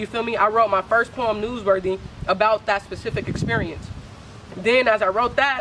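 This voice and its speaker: Over noticeable background noise, a woman with a fairly high pitch speaks at a moderate pace in fairly even intonation. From San Francisco Bay Area. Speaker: spoken word poet. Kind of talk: interview. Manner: casual, halting.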